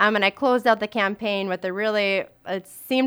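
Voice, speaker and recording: A woman with an Upper Midwest accent, medium pitch and a bright, sharp tone, at a moderate pace with fairly even intonation, in a dry, close sound with no echo on a very clean recording with a silent background. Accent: Upper Midwest American. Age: 20s. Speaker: teacher and suicide prevention speaker. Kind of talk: interview.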